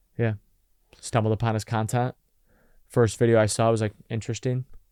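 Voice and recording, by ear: A man speaks at a fairly quick pace and a fairly low pitch. His tone is clear, smooth and slightly mellow, with little pitch movement.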